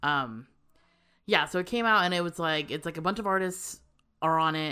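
Over a silent background in a very clean recording, a woman talks at a moderate pace in a bright, sharp tone with ordinary pitch variation. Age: 20s. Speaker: podcast co-host. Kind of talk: casual chat.

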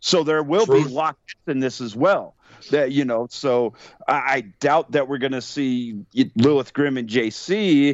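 An unremarkable speaking voice goes at a fairly slow pace with ordinary pitch variation. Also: man. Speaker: wrestling commentator and guest. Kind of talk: casual wrestling preview chat.

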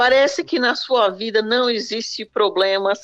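A woman with ordinary pitch variation. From Brazil. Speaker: radio commentator. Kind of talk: casual chat. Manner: halting.

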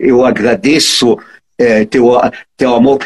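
The man talks at a very slow pace in a dry, close sound with no echo. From Egypt (Cairo). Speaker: electrical engineer and transport consultant. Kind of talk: interview. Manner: halting, repeats words.

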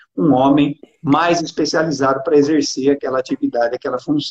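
Fairly quick speech from a man, with pitch that varies in an ordinary way. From Brazil, São Paulo interior (Araraquara). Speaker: retired police colonel, political candidate. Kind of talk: interview.

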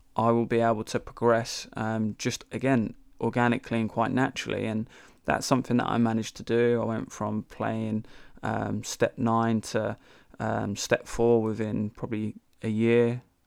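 A man speaks at a moderate pace and medium pitch in a monotone, flat voice, recorded very cleanly against a silent background. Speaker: podcast host. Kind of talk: casual interview. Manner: informal.

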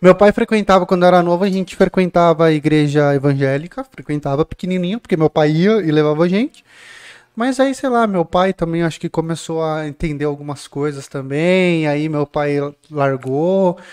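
A man with a high pitch and ordinary pitch variation talks at a moderate pace in a dry, close sound with no echo. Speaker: podcast host. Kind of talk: casual podcast chat. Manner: joking, informal.

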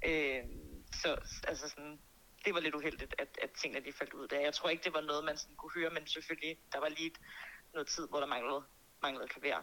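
Through noticeable background noise, a woman with a very deep, low voice talks very fast in a monotone, flat intonation, broken by long, frequent pauses. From Denmark, Birkerød near Copenhagen. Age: 20s. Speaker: singer and music producer. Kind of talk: interview.

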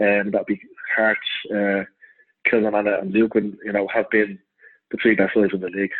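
This man has a fairly low-pitched voice and speaks with a Dublin accent. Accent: Dublin Irish. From Ireland, north Dublin. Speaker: football club secretary. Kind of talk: interview.

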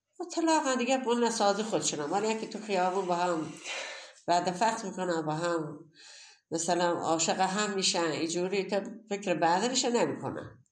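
In a room with audible echo, a woman speaks in an animated tone at medium pitch and moderate pace, with ordinary pitch variation. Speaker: grandmother. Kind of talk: interview.

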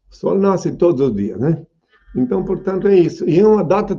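The speaker is a man with a high pitch. His tone is dark and mellow. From southern Brazil. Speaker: self-proclaimed messiah. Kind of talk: question and answer interview.

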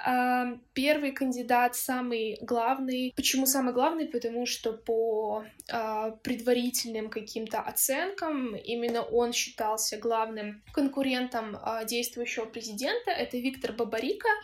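Her pitch is high and varies in an ordinary way. The woman speaks at a fairly slow pace. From Belarus. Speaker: activist. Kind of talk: interview, explanatory report.

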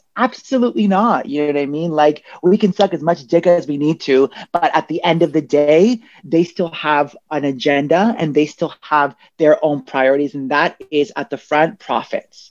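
A woman with a Canadian accent talks at a moderate pace. Her pitch is very deep and low, with lively intonation. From Toronto, Canada. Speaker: recording artist and club night co-founder. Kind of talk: panel discussion. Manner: animated.

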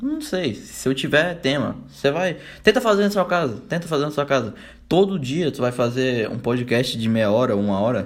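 This man has a Brazilian accent and a fairly high pitch. He talks at a moderate pace. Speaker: podcaster. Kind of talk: solo casual monologue.

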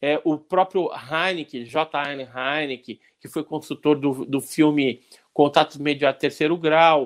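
A man with an unremarkable speaking voice talks fairly slowly at a fairly high pitch, his intonation fairly even. His loudness swings widely, and the sound is dry and close with no echo. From Santos, Brazil. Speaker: ufologist and researcher. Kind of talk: casual podcast interview. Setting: online/livestream with chat.

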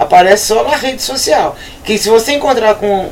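A woman with a fairly high pitch talks at a moderate pace, her pitch swinging very widely. Noticeable background noise can be heard. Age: 50s. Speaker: rock radio co-host. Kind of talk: casual chat.

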